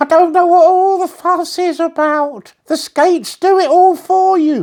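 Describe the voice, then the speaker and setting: This put-on character voice sounds squeaky, moving at a moderate pace with fairly even intonation. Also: woman, extremely high pitch for a woman. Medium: read story. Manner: boastful, self-assured.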